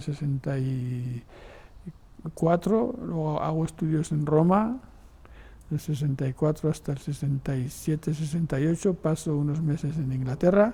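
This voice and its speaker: A somewhat breathy voice with a dark, mellow tone and ordinary pitch variation. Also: man. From Spain, Navarre (Sangüesa). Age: 70s. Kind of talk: interview testimony. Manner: halting, with repetitions.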